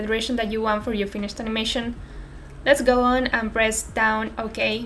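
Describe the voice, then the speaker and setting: Her pitch fairly high and her intonation fairly even, a woman speaks with a Spanish accent. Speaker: software tutorial creator. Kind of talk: tutorial. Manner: unscripted, somewhat careful non-native speech.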